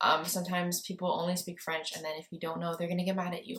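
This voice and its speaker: A woman with a Montreal accent speaks at a medium pitch. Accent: Montreal anglophone Canadian English. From Montreal, Quebec, Canada (anglophone area). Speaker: lifestyle YouTuber. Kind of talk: casual vlog talk to camera. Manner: casual, lots of filler 'like'.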